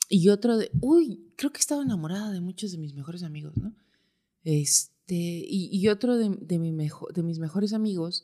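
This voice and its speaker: A woman with a dark, mellow tone and medium pitch, at a moderate pace, with lively intonation and big swings in loudness. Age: 30s. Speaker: physical anthropologist. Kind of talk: casual chat.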